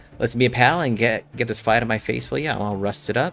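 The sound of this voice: Over faint background music, a man in a put-on character voice talks very fast with a creaky, medium-pitched sound and ordinary pitch variation.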